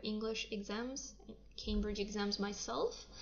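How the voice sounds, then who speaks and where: A woman speaks at a medium pitch with a Russian accent. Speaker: English teacher. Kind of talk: livestream talk. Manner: hesitant, many fillers.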